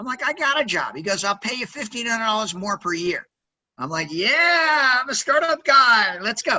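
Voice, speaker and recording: Loud and energetic in tone, a man with an American accent speaks at an extremely high pitch with very wide pitch swings. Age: 60s. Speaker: sales executive and entrepreneur. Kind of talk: interview. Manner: energetic, loud; fast-paced, many fillers.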